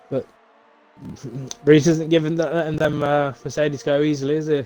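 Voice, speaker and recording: The man's pitch is fairly high and his pace fairly quick. His intonation stays monotone and flat. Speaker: esports race commentator. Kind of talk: live commentary.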